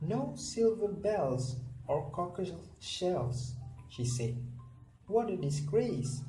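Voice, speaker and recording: Music plays behind a man with a medium pitch. His pitch swings very widely. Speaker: storyteller reading a picture book to kids. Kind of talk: children's storybook read-aloud.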